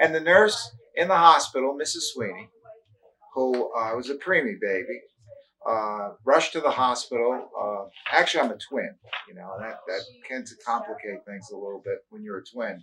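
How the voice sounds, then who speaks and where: A man with a New York accent talks at a moderate pace and a medium pitch. His pitch swings very widely and his loudness shifts in big swings. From New York (Brooklyn, then Long Island). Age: 60s. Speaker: retired teacher. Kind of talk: oral history interview. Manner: halting, many fillers.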